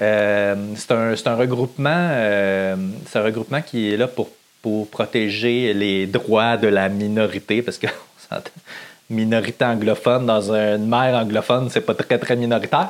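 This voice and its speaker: This man talks at a very slow pace in a Quebec accent. His pitch sits in the medium range. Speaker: podcaster. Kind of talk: casual monologue. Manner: animated.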